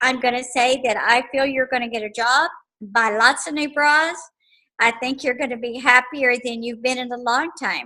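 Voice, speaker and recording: Projecting a raised voice, a woman speaks at a high pitch and a moderate pace with ordinary pitch variation. Her tone is warm yet bright and sharp. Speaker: psychic. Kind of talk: psychic reading to class. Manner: warm, conversational.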